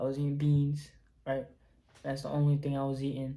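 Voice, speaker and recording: Against audible room echo, a man speaks at a fairly quick pace with a dark, mellow tone and a somewhat breathy quality. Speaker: YouTuber, holistic healing talk. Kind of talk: casual vlog monologue. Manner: casual, filler-heavy.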